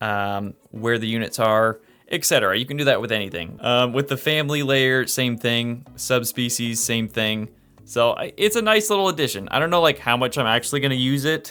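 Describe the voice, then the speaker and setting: Music plays in the background as a man speaks at a medium pitch. His delivery is fairly quick and animated. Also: ordinary pitch variation. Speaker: gaming youtuber. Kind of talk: gameplay commentary. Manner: fast; casual and animated.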